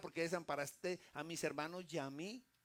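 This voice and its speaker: A man's high-pitched, bright, sharp voice at a fairly quick pace, with ordinary pitch variation. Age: 60s. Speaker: pastor. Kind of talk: sermon. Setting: church.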